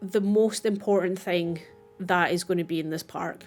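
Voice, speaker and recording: Music plays behind a woman speaking in a Scottish accent. Her pace is moderate. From Scotland. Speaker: gaming YouTuber. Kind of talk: gameplay commentary. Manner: casual.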